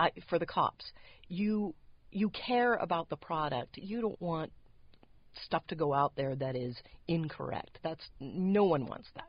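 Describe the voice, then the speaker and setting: In an American accent, a woman with a fairly low voice speaks at a fairly slow pace, using lively intonation and long, frequent pauses. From San Diego, California. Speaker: post-production manager. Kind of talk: interview.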